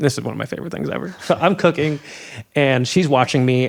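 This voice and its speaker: Vocal fry marks this fairly quick delivery in an American accent. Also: man. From Indiana, US Midwest. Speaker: world traveler and adventurer. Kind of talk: casual interview chat. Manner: halting, many fillers and restarts.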